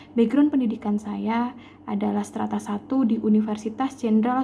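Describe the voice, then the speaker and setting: At a moderate pace, a woman with a fairly high pitch and a dark, mellow tone speaks in a somewhat breathy, monotone voice with flat intonation. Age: 20s. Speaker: job applicant, chemistry teacher. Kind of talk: self-introduction for job application. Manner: formal.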